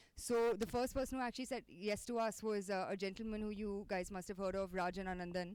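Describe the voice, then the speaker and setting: The speech runs at a very fast pace with hardly any pauses and a fairly even intonation. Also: woman, medium pitch for a woman. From India, Delhi. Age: 20s. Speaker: startup founder. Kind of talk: talk to an audience.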